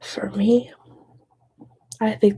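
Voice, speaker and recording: Soft-spoken delivery at a very slow pace. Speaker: ASMR creator. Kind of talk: ASMR mental health talk.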